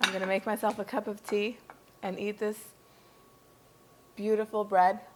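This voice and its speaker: A woman's medium-pitched, monotone, flat delivery at a moderate pace, with noticeable background noise. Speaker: cooking channel host. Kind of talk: cooking tutorial. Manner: casual, chatty.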